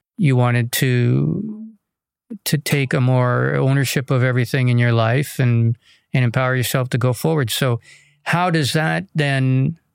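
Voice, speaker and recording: In a very clean recording with a silent background and a dry, close sound with no echo, a man uses a normal speaking voice at medium pitch with ordinary pitch variation. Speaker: podcast host. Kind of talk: podcast interview. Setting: studio.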